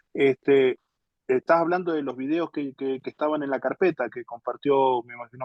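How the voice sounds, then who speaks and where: A man speaks at a moderate pace and a medium pitch. He has an ordinary speaking voice. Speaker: pastor teaching a Bible class. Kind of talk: lecture.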